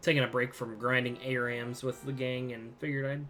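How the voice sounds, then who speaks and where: Music plays in the background as a soft-spoken man talks at a medium pitch and a fairly quick pace. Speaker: video game streamer. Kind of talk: live gameplay commentary. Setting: home live stream at night. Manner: quiet, soft-spoken; casual.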